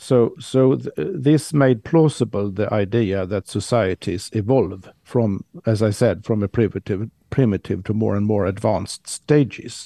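In a Swedish accent, a man speaks with a fairly low pitch and a dark, mellow tone at a fairly slow pace, with hardly any pauses. His pitch varies in an ordinary way, and the sound is dry and close with no echo. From Sweden. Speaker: historian of science. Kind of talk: casual chat. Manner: halting.

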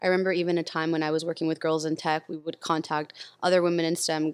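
Speaking very fast with a Californian accent, a woman keeps a very deep, low pitch and monotone, flat intonation. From Los Angeles, US. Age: 30s. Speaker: tech community builder. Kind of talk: casual chat.

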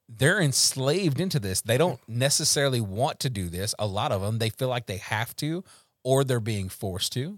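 In a very clean recording with a silent background and a dry, close sound with no echo, a man with a Louisiana accent speaks at a moderate pace and medium pitch with lively intonation. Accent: Louisiana Southern US. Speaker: recovery podcast host. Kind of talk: casual faith-based recovery chat. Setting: Facebook Live podcast.

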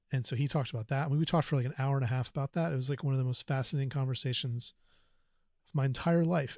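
With an American accent, a man speaks at a very fast pace in a fairly high, somewhat breathy voice with a dark, mellow tone and fairly even intonation over a quiet background. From US South, North Carolina. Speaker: podcast guest. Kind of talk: personal testimony. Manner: halting, many fillers.

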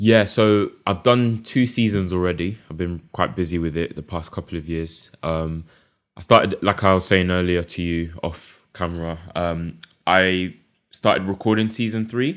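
With a London accent, a man speaks at a very deep, low pitch and a moderate pace. His pitch varies in an ordinary way, and the recording is very clean with a silent background. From London, England. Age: 20s. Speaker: illustrator and podcast founder. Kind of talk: casual interview.

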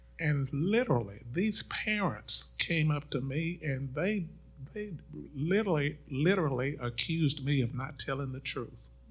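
Here a man speaks at a fairly slow pace with lively intonation. His voice is somewhat breathy and fairly high in pitch. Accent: American. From Middle Tennessee, US South (College Grove). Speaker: pastor. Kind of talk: panel discussion.

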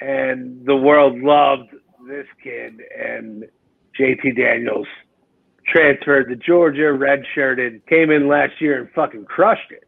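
A man with an American accent and a fairly high pitch, fairly slow pace, ordinary pitch variation and big swings in loudness. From US Northeast, South Jersey near Philadelphia. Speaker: fantasy football podcaster. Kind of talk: casual chat. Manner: animated.

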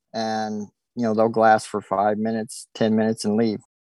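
A man with an American accent at a medium pitch, dry and close with no echo, over a quiet background. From Oregon. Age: 40s. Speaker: deer hunter. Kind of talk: casual interview.

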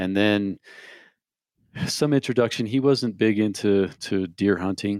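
A man's ordinary speaking voice, fairly low in pitch, at a moderate pace, with a dry, close sound free of echo and a very clean recording over a silent background. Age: 40s. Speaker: bow hunter. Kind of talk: casual chat.

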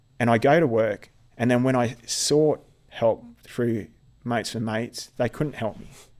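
With an Australian accent, a man speaks at a moderate pace in a medium pitch, his intonation fairly even. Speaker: army veteran and occupational therapist. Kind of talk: interview. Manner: halting.

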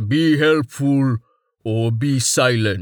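A man's put-on character voice at medium pitch, on a very clean recording with a silent background

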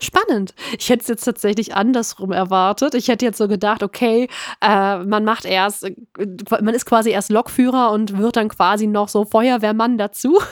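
A woman with a fairly high pitch talks at a moderate pace and fairly even intonation, her dry, close sound with no echo on a very clean recording with a silent background. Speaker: podcast host. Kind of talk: interview.

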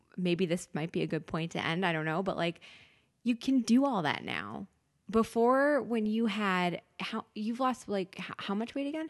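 Against a quiet background, a woman with an unremarkable speaking voice talks at a moderate pace with medium pitch and lively intonation. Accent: American. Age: 30s. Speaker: podcast guest. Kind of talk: casual chat.

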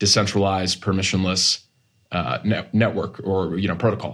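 A man speaks in an ordinary speaking voice, fairly low in pitch and at a moderate pace. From US Northeast, Massachusetts. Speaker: tech startup co-founder. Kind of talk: interview.

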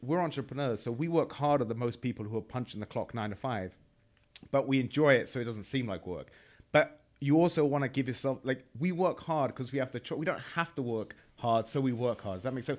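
A man with an English accent speaks at a fairly quick pace and a medium pitch with ordinary pitch variation on a very clean recording with a silent background. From England. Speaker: entrepreneur, former trader. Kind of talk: casual chat.

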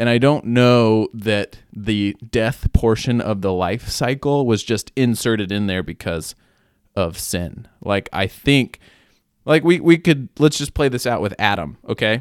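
A normal speaking voice from a man at a medium pitch, with lively intonation, a fairly slow pace and a dry, close sound with no echo. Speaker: podcast co-host. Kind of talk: casual banter, Q&A.

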